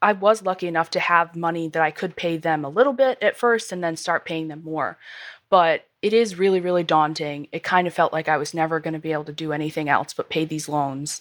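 A woman with an American accent speaks in a plain, everyday voice, fairly low in pitch with ordinary pitch variation, at a fairly quick pace. The recording is very clean, with a silent background. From US small town. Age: 20s. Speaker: listener sharing money story. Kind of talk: interview. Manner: laughs often.

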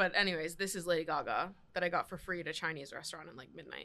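The recording is very clean, with a silent background. A woman with a fairly low pitch, a bright, sharp tone and vocal fry speaks at a very fast pace. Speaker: content creator and podcaster. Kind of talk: casual chat.

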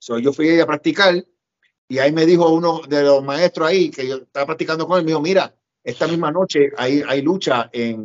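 This man has an unremarkable speaking voice, pitched fairly high. He talks at a fairly quick pace with ordinary pitch variation. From Puerto Rico. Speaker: pro wrestler and promoter. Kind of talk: interview, storytelling.

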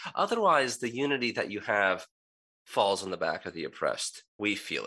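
A man's voice against a quiet background. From United States, child of Egyptian immigrants. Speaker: pastor and author. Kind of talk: interview conversation.

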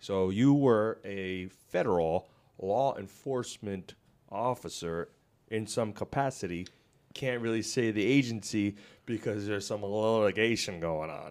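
In a plain, everyday voice, a man talks at a fairly slow pace and fairly low pitch with ordinary pitch variation, on a very clean recording with a silent background. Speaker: podcast host. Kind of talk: casual podcast chat. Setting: office studio. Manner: joking, talkative.

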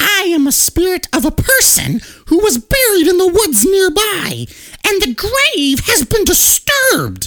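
This female-sounding voice is a put-on character voice, pitched extremely high and delivered at a fairly slow pace. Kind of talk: comic spooky voice acting. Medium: game stream. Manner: taunting.

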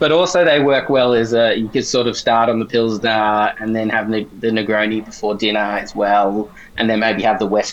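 A man speaks in an Australian accent at a moderate pace. His pitch sits fairly low, with fairly even intonation. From Australia, South Gippsland, Victoria. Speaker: beer journalist. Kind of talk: casual interview.

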